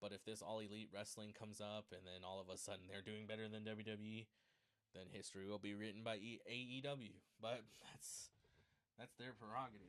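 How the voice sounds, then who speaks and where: Speaking at a fairly quick pace, a man keeps a fairly low pitch with monotone, flat intonation. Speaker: wrestling show reviewer. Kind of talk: live show review. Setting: live stream. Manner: casual, filler-heavy; talks quietly at one point.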